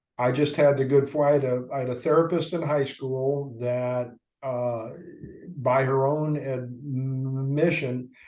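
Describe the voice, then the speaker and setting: A man with an American accent, medium pitch and monotone, flat intonation at a fairly slow pace, with audible room echo. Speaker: stuttering support leader. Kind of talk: interview. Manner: repetitions and fillers.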